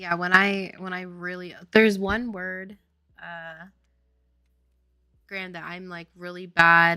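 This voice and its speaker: A woman speaks at medium pitch in a bright, sharp tone, with monotone, flat intonation. Her very slow delivery has long, frequent pauses and big swings in loudness. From Louisiana, New Orleans. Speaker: indie game developer, streamer. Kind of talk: casual livestream chat.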